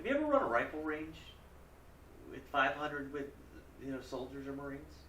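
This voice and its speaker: Through audible room echo and noticeable background noise, a man with a fairly high pitch speaks at a very fast pace. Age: 40s. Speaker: congressional candidate and military veteran. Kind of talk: interview.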